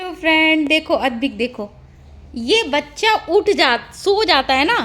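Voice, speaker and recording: The voice has a bright, sharp tone and swings very widely in pitch. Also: woman, extremely high pitch for a woman. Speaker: vlogger, mother. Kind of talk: casual vlog chat.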